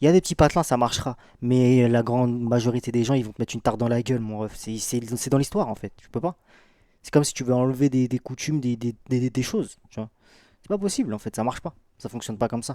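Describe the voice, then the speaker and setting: On a very clean recording with a silent background, a man talks very fast at a medium pitch with ordinary pitch variation, big swings in loudness and a dark, mellow tone, in a dry, close sound with no echo. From Brittany. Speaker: streamer. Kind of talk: live stream reaction. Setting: live stream. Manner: animated.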